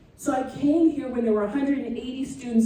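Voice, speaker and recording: Audible room echo surrounds a woman's voice. Background noise is noticeable too. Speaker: retired family physician and guest speaker. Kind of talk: talk to a student audience. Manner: loud; dramatic, animated.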